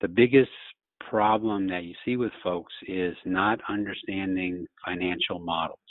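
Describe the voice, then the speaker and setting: A man's fairly low-pitched voice with ordinary pitch variation. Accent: American. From Louisiana. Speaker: orthopedic surgeon. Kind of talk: interview.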